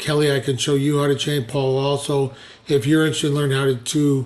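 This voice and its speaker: A man's fairly high voice in a flat monotone, with an American accent. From Chicago. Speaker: web developer. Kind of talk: screen-share walkthrough for clients. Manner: fast; many fillers, hesitant.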